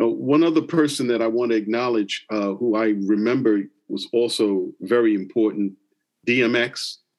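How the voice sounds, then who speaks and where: A man with an American accent speaks at a moderate pace in an unremarkable speaking voice. His pitch is medium, with ordinary variation. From New York. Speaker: podcast co-host, professor. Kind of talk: interview.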